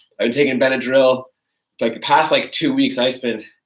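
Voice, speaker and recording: The man's tone is bright and sharp. His pitch is medium. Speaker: fitness coach. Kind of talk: live workout class. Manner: casual, chatty.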